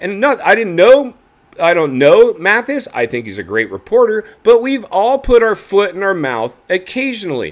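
Against a quiet background, a man speaks at a moderate pace with very wide pitch swings. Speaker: motocross commentary host. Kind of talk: commentary. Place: home room.

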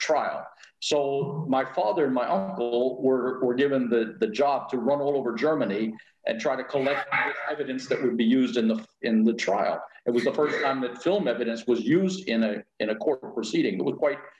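Moderate-paced male speech with ordinary pitch variation and audible room echo. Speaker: guest. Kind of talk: interview answer. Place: home room. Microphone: video call.

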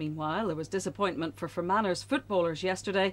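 A woman with a Northern Irish accent speaks at a fairly low pitch with vocal fry. Her intonation is lively. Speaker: television news presenter. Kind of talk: TV news reading. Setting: TV studio. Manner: crisp, measured and formal newsreader delivery.

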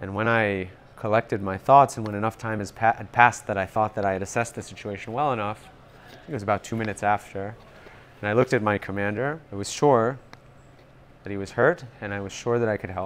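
Speaking at a very fast pace with a New York accent, a man keeps a fairly low pitch and fairly even intonation while his loudness swings widely. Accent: New York American. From US, Long Island, New York. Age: 30s. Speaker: wounded soldier and marketing executive. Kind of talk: interview. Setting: rehab center at a hospital. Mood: serious, reflective. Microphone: lapel.

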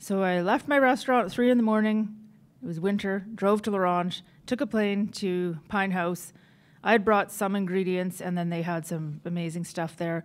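With a Canadian Prairie accent, a woman speaks at a medium pitch. She keeps a moderate pace and ordinary pitch variation. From northern Saskatchewan, Canada. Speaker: chef. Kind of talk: conference presentation.

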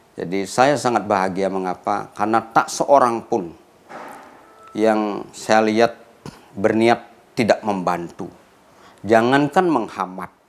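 Very slowly and with long, frequent pauses, a man speaks at a fairly low pitch with ordinary pitch variation. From Bali, Gianyar; Bali, Indonesia. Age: 60s. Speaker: professor; professor profiled. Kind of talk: interview; interview answer. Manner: hesitant with fillers. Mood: calm, reflective. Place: studio.

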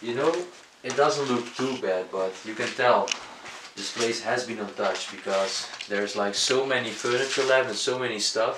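The voice shows ordinary pitch variation. Noticeable background noise can be heard. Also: man, moderate pace. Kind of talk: casual vlog chat. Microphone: phone near.

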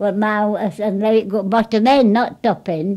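A woman's dark, mellow tone at a moderate pace against a quiet background. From Yorkshire, England. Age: 80s+. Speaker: wartime railway goods depot worker. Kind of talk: oral history interview answer. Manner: hesitant, conversational. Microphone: old recording.

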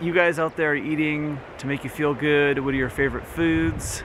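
A man at a moderate pace, dry with no echo, over noticeable background noise. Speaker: wellness vlogger. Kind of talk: casual vlog chat. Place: open country. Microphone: camera far.

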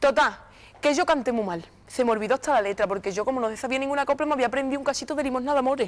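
An animated tone carries this very fast speech, which has ordinary pitch variation. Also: woman, high pitch for a woman. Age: 20s. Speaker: copla singer; interview guest. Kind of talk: TV interview. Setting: TV studio with audience. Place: studio. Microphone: lapel.

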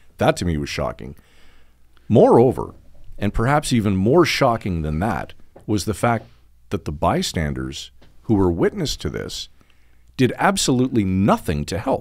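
A man with a Canadian accent talks at a fairly low pitch, with vocal fry and very wide pitch swings. He leaves long, frequent pauses against a quiet background. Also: moderate pace. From Canada, Northern Ontario. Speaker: podcast host. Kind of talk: casual chat and interview. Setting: studio. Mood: serious, troubled. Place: studio. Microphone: studio mic.

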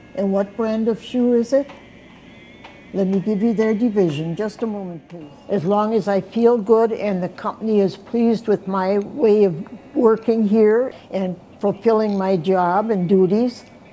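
A woman speaks at a medium pitch. Music plays in the background. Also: ordinary pitch variation, fairly slow pace. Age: 80s+. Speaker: receptionist. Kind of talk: interview answers and phone reception greetings. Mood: cheerful, firm. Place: office.

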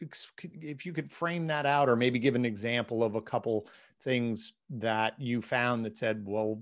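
In a very clean recording with a silent background, a man of medium pitch talks at a fairly slow pace with fairly even intonation.

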